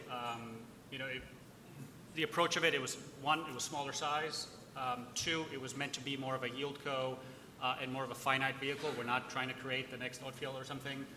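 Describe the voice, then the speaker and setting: A man at medium pitch and a fairly quick pace, monotone and flat in intonation, with noticeable background noise. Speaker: investment manager. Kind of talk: panel discussion.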